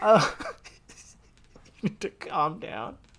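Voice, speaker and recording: Noticeable noise fills the background. Through it, a male voice talks. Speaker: podcast co-host. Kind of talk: casual chat.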